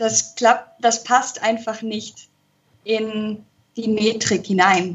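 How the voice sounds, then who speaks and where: Somewhat breathy, a woman speaks at a very slow pace with monotone, flat intonation. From Spain. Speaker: musical performer and translator. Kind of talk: interview. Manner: hesitant with many fillers.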